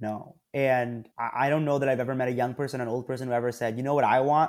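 A man's normal speaking voice, medium in pitch, at a fairly quick pace with fairly even intonation. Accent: American. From New Jersey, US (Princeton). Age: 20s. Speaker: Gen Z marketing consultant, company CEO. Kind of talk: interview.

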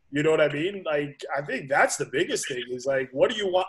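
This man speaks with a fairly high pitch. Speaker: college soccer head coach. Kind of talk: panel discussion. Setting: video call. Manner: halting, many fillers.

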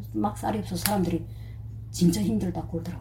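A woman's voice amid noticeable background noise. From North Korea. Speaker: North Korean defector, dressmaker. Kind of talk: personal testimony interview.

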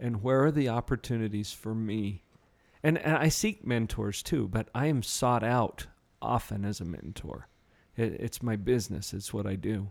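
This man has a normal speaking voice at a medium pitch, with ordinary pitch variation and a moderate pace. The recording is very clean, with a silent background. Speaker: radio host and psychologist. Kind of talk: radio interview. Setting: studio.

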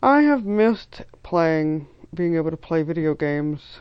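A woman's fairly low voice at a fairly slow pace, with ordinary pitch variation. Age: 30s. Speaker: listener sharing a personal story. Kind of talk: recorded personal story.

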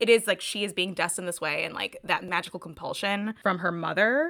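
A woman's bright, sharp voice at a very fast pace, with ordinary pitch variation. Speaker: podcast co-host. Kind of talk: casual book discussion.

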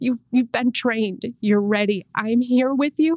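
The speaker is a woman with an Inland North American accent. Her pitch variation is ordinary. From Rochester, New York. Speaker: church staff member. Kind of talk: casual chat. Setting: podcast.

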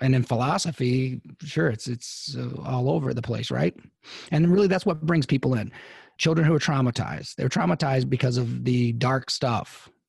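Lively intonation marks this man's medium-pitched voice. He speaks at a moderate pace and sounds somewhat breathy. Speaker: psychologist podcast co-host. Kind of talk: casual chat.

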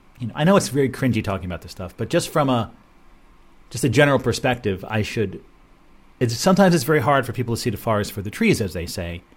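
A man at medium pitch, somewhat breathy, at a very fast pace with very wide pitch swings and long, frequent pauses. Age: 50s. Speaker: radio show host. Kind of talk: solo monologue. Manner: halting.

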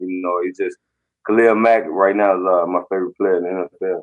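A man's fairly low voice in a Mississippi accent, at a fairly quick pace with monotone, flat intonation. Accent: US Southern (Mississippi). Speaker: football player. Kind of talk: interview.

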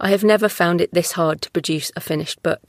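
A woman with an unremarkable speaking voice and fairly low pitch talks at a moderate pace with ordinary pitch variation, in a dry, close sound with no echo. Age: 40s. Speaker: podcast host and author. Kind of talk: solo podcast reading prepared notes.

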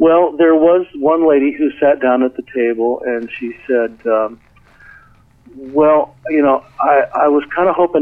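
Noticeable background noise runs behind a man whose pitch varies in an ordinary way. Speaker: writer and audio producer. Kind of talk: casual interview.

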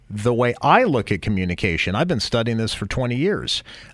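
In a very clean recording with a silent background, a normal speaking voice carries lively intonation. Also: man. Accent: American. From US West Coast, San Jose. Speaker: author and communications expert. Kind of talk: radio interview.

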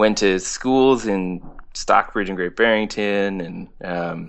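This man speaks in an American accent at a very slow pace. His pitch is very deep and low. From Berkshires, western Massachusetts. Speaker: singer-songwriter. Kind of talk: casual interview chat.

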